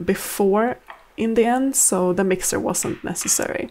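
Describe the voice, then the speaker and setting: A woman's dark, mellow tone with a Swedish accent, a fairly slow pace and fairly even intonation. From Sweden. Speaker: home cook and vlogger. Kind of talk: cooking vlog voiceover. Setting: home kitchen. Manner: casual, conversational.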